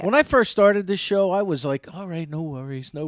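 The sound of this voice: The words are spoken in an unforced reading voice.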